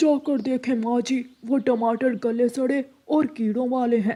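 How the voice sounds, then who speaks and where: A cartoonish character voice, fairly high in pitch, at a moderate pace. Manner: loud, salesy.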